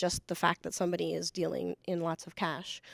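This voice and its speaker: On a very clean recording with a silent background, a woman with an American accent talks at a moderate pace in a fairly low register. Hers is an unremarkable speaking voice, heard dry and close with no echo. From El Paso, Texas (US border). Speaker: federal agent. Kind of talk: panel discussion.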